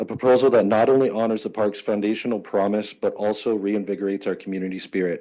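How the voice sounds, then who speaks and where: Over a quiet background, a man with a dark, mellow tone talks at a very fast pace with fairly even intonation and hardly any pauses. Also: fairly low pitch for a man. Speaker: resident presenting to council. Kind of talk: public presentation. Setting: council meeting. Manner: halting, many fillers.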